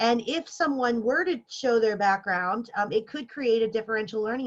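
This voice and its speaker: A woman talks at a fairly quick pace. Her pitch is fairly high. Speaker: workshop presenter for faculty. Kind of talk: lecture. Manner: fast.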